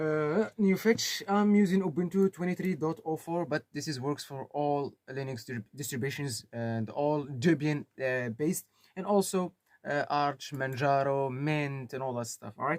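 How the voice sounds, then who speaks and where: Speaking at a moderate pace with a Moroccan accent, a man uses a fairly high pitch and ordinary pitch variation. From Morocco. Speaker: tech tutorial YouTuber. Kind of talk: tutorial. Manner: casual, hesitant with fillers.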